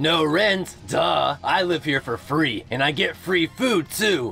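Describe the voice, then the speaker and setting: A man's whiny put-on character voice, fairly high-pitched and whiny in tone, at a fairly slow pace over clear background noise. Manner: trying to sound tough, whiny.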